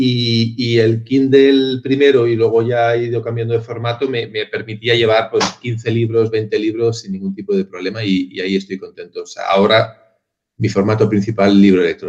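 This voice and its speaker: Somewhat breathy, the man's voice sits at a medium pitch with fairly even intonation. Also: moderate pace, hardly any pauses. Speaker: marketing and branding professional. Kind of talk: interview answer, casual.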